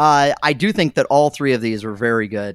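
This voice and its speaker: A man at medium pitch and moderate pace, in a dry, close sound with no echo. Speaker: podcast panelist. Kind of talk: casual chat. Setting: video call. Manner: halting.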